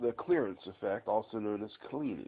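At a moderate pace, a man is speaking. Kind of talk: tutorial. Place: garage. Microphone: phone near.

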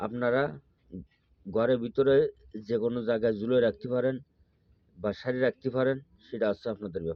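The man has an unremarkable speaking voice, medium in pitch, with fairly even intonation. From Bangladesh, Khulna. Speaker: folk healer. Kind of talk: tutorial.

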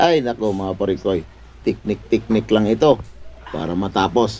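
A man's fairly low-pitched voice at a fairly slow pace. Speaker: vlogger. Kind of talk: comedic vlog. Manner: animated.

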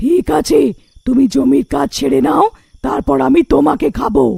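In a cartoonish character voice, a woman speaks with a very deep, low pitch and a raspy edge at a moderate pace. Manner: hungry, threatening.

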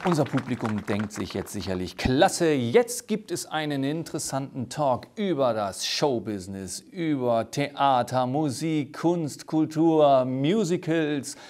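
Lively in intonation, a man with a fairly high pitch speaks at a very slow pace over a quiet background. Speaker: talk show host. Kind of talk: talk show interview. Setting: studio. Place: studio. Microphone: lapel.

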